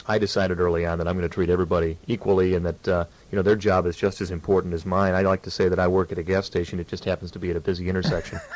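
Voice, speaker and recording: Over noticeable background noise, a man with a Midwestern American accent speaks at a very fast pace with hardly any pauses, his very deep, low pitch held in a monotone, flat intonation. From Illinois. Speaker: TV news anchor. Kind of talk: radio interview.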